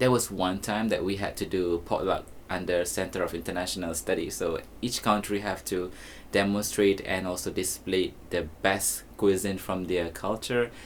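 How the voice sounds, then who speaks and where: Speaking with a very deep, low pitch, the man keeps a moderate pace and his intonation fairly even. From Malaysia. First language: Malay. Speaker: teacher and influencer. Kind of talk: documentary interview; social media video. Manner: casual, with fillers.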